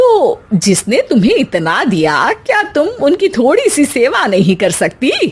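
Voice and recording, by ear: A woman's put-on character voice, high in pitch, at a fairly slow pace, with very wide pitch swings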